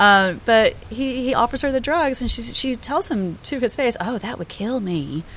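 Lively in intonation and high in pitch, a woman speaks at a moderate pace with hardly any pauses. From US South, Georgia. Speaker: podcast co-host. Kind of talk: casual chat.

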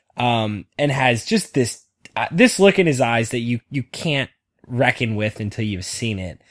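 A man talks in an ordinary speaking voice at medium pitch with lively intonation. The recording is very clean, with a silent background. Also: fairly slow pace. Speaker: podcast host. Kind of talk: casual banter, comedic list debate.

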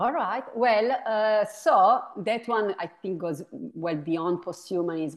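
Speaking at a very slow pace in an Italian accent, a woman uses lively intonation. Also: medium pitch for a woman, hardly any pauses. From Italy. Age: 40s. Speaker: philosophy professor. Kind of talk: interview.

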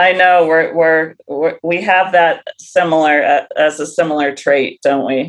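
A woman with an American accent has a normal speaking voice and a fairly low pitch. She speaks fairly slowly with hardly any pauses and fairly even intonation. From US Midwest, Ohio. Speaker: horse trainer and riding coach. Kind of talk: casual interview.

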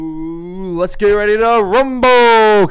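A man's put-on character voice, high-pitched and fairly slow, with noticeable background noise. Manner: energetic, exaggerated showman.

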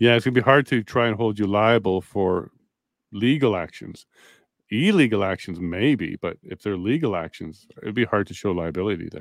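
A man talks in a normal speaking voice at a moderate pace, fairly low in pitch with ordinary pitch variation. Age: 40s. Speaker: podcast host. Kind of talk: interview.

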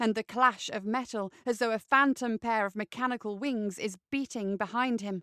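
The voice heard here is a natural reading voice.

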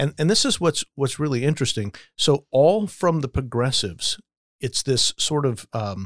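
A man with a normal speaking voice talks at a medium pitch and a moderate pace, his intonation lively. The recording is very clean and dry, close-miked with no echo and a silent background. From Las Vegas, US. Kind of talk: casual discussion.

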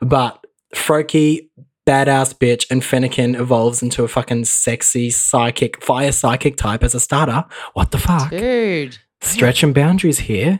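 Keeping his loudness very even, a man speaks at a moderate pace and a medium pitch with ordinary pitch variation. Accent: Australian. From Australia, Mildura, Victoria. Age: 20s. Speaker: guest. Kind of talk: casual chat. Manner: animated.

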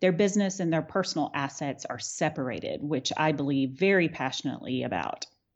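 A woman with an American accent and a very deep, low pitch. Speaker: attorney and winery owner. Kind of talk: interview.

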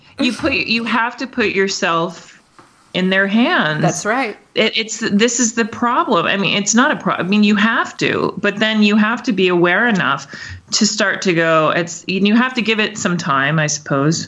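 A woman talks with an ordinary speaking voice at a medium pitch. Her pace is moderate and her intonation lively. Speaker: opera singer and voice teacher. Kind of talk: casual interview conversation.

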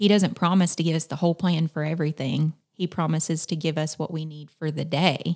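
This woman has a very deep, low pitch and a Southern US accent, with monotone, flat intonation. She leaves hardly any pauses, and the sound is dry and close with no echo. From South Carolina. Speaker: missionary at a camp. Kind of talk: casual interview chat.

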